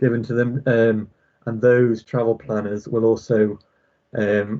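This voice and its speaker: Medium pitch from a man, intonation fairly even. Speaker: local government transport officer. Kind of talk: presentation at public board meeting. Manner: fast.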